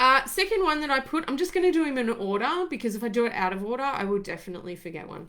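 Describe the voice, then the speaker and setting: Against noticeable background noise, a woman with an Australian accent speaks at a high pitch. She uses very wide pitch swings and hardly any pauses. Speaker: former ambulance paramedic, wellbeing coach. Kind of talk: casual live talk to camera. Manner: rambling.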